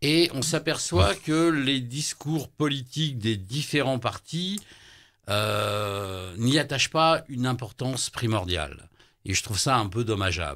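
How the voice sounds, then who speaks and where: A man at a medium pitch with very wide pitch swings and a very slow pace, on a very clean recording with a silent background. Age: 60s. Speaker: political candidate, shaman healer. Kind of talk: radio interview. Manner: hesitant, many fillers.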